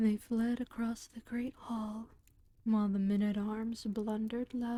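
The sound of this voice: What comes through is a reading voice that sounds unforced.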